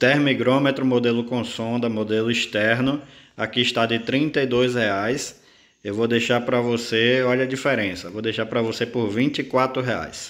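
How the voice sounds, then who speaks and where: A man of medium pitch talks at a fairly slow pace in an ordinary speaking voice with fairly even intonation. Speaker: small breeder and incubator parts seller. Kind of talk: sales pitch reading out a price list item by item. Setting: video recording for online channel. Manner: urgent, pushing viewers to hurry.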